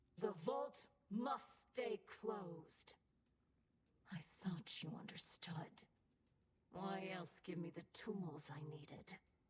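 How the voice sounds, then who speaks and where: A female-sounding put-on character voice at a medium pitch and very slow pace, with long, frequent pauses. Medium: video game. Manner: mocking.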